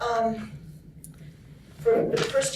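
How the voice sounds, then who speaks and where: Clear background noise is audible behind this woman. Her voice echoes around the room. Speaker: nurse and union activist. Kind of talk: storytelling. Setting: conference story circle with audience. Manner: soft-spoken; halting.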